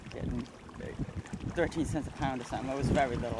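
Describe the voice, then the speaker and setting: A woman with a very deep, low pitch and an American accent, with noticeable background noise. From northern US. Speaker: local historian. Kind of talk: casual interview.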